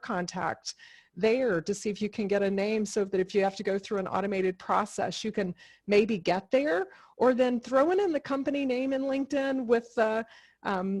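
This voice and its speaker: An unremarkable speaking voice from a woman, fairly high in pitch, at a moderate pace with ordinary pitch variation, over a quiet background. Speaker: career coach. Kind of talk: webinar Q&A.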